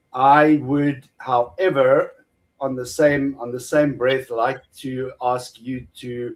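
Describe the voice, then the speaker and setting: Speaking at a very slow pace, a man delivers his words. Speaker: atheist debater. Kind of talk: debate. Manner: halting, repeats words.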